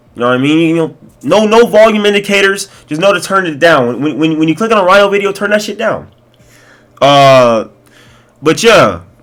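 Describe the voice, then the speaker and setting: Shouting loudly, a man with a high pitch uses lively intonation. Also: moderate pace. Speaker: gaming streamer. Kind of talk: casual rant to camera. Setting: home facecam recording. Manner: loud, yelling; casual, filler-heavy.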